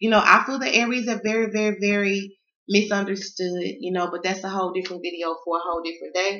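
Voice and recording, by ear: With a Southern US accent, a woman talks fast at a medium pitch with little pitch movement and a bright, sharp tone, amid audible room echo. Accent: Southern American.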